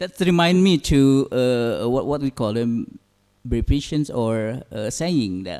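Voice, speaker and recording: In an Indonesian accent, a man with a dark, mellow tone and medium pitch talks at a fairly slow pace with lively intonation. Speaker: conference moderator. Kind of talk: moderating Q&A. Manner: hesitant, many fillers.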